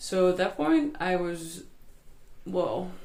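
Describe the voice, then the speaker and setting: A woman speaks at medium pitch with a Dutch accent and very wide pitch swings. The room echo is audible. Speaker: healer. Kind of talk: personal testimony. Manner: halting.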